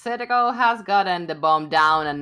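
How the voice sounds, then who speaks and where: The recording is very clean, with a silent background. A woman speaks fairly slowly in a bright, sharp tone. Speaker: esports caster. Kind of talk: live commentary. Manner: animated.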